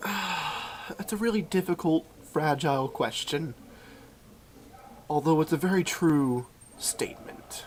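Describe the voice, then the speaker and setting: Over noticeable background noise, a man talks at a fairly slow pace with ordinary pitch variation and long, frequent pauses. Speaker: comedy vlogger. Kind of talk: casual comedic talk to camera.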